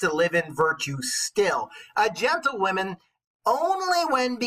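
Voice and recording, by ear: The background stays quiet while someone is reading aloud in a natural voice.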